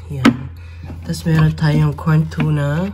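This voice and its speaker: Noticeable background noise and audible room echo surround a woman's voice. She talks at a fairly slow pace with lively intonation. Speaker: vlogger. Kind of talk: casual vlog, grocery haul. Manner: casual, unscripted.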